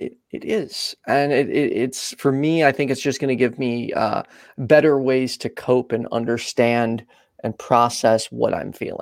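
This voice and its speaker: Against a very clean, silent background, a man talks in a normal speaking voice at a fairly slow pace, with medium pitch and fairly even intonation. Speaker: co-host of live stream show. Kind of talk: casual chat, live stream.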